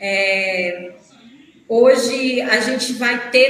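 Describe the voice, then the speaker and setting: Against noticeable background noise, a woman speaks at a high pitch with a northeastern Brazilian accent. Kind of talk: live online interview.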